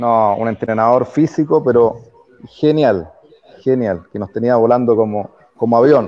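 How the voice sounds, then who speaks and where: Talking at a fairly slow pace, a man uses a normal speaking voice at medium pitch with ordinary pitch variation. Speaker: former footballer. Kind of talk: interview.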